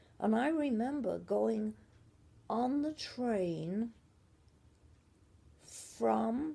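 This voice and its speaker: Very slowly, a woman speaks with an English accent. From Shropshire / Merseyside, England. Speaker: grandmother telling family history. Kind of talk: family memoir storytelling.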